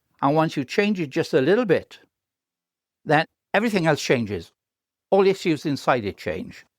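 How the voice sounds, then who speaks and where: In a very clean recording with a silent background and a dry, close sound, a man with a Welsh accent speaks in a fairly high voice with vocal fry, very wide pitch swings and long, frequent pauses. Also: moderate pace. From Wales. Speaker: professor. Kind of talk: interview. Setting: podcast.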